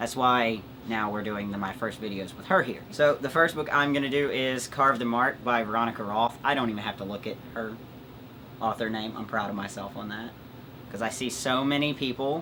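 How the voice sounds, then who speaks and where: A man's medium-pitched voice with ordinary pitch variation, fairly quick pace, and noticeable background noise. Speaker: booktuber. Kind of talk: casual chat. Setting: home recording with pets.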